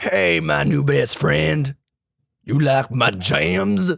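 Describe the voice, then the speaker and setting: A man's cartoonish character voice, raspy and fairly low-pitched, with very wide pitch swings at a very slow pace. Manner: overly friendly, odd.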